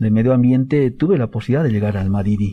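A man talks in a medium-pitched voice with a dark, mellow tone. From Bolivia, Tupiza, Potosí. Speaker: government official, protected areas director. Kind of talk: radio interview. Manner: halting, many fillers.

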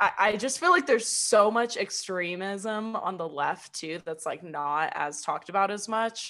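With a General American accent, a woman speaks at a moderate pace in a bright, sharp tone at medium pitch, her intonation lively. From California, near Sacramento. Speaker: podcast co-host. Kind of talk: casual chat.

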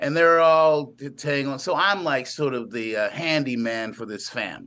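With lively intonation and fairly high pitch, a man speaks in an unremarkable speaking voice. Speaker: actor. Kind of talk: interview.

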